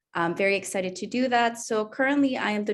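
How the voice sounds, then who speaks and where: A woman with a Spanish accent, medium pitch, ordinary pitch variation and a fairly quick pace, over a quiet background. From El Salvador. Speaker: language education administrator. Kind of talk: panel discussion.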